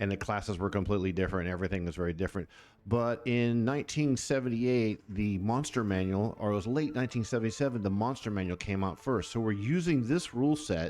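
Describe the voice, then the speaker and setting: Over a quiet background, a man speaks at a very fast pace in a fairly low voice, with ordinary pitch variation and very even loudness. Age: 60s. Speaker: tabletop gaming YouTuber, game director. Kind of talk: casual tutorial video. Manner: conversational, with fillers and self-corrections.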